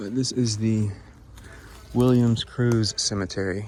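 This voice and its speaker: A soft-spoken man talks in a fairly low pitch. His intonation is monotone and flat. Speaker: cemetery explorer vlogger. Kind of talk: casual vlog narration. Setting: outdoors in the woods. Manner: quiet, speaking softly; halting, many fillers.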